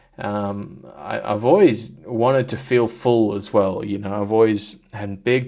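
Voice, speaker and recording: A man speaks in a fairly low voice with an Australian accent. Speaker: vlogger. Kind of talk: personal vlog. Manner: halting, many fillers.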